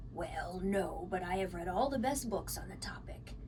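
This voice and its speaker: A woman uses a put-on character voice that sounds breathy. Loud background noise runs underneath. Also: moderate pace. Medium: read story.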